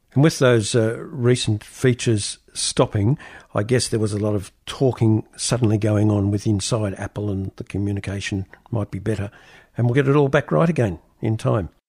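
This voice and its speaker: Somewhat breathy and fairly low in pitch, a man with an Australian accent speaks at a moderate pace with ordinary pitch variation, in a very clean, dry, close recording with no echo and a silent background. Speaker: radio host. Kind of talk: radio interview.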